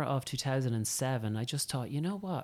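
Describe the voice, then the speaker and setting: A man speaks with an Irish accent at a moderate pace. His intonation is lively. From County Meath, Ireland. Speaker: estate agent. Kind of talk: casual interview chat. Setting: in-person office studio. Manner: hesitant, many fillers.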